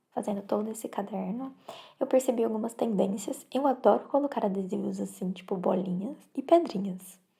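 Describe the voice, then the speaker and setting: A soft-spoken woman speaks in a dark, mellow tone. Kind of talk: ASMR soft-spoken show and tell.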